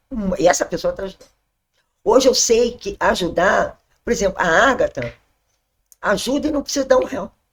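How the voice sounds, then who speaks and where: Her pitch is high and her intonation lively as this woman talks at a moderate pace. She leaves long, frequent pauses, and her loudness swings widely. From Brazil, Rio de Janeiro (Zona Sul). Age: 60s. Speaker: church member sharing testimony. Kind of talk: testimony.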